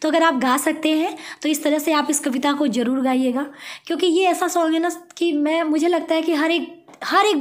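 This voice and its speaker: With audible room echo, a woman speaks at a high pitch and moderate pace, her intonation fairly even and her loudness very even. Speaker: teacher. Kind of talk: tutorial.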